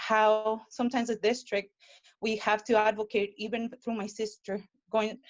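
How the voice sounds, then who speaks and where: Speaking at a moderate pace, a woman with a Spanish accent has a fairly high pitch. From Mexico. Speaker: public commenter at board meeting. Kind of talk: public comment. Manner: halting.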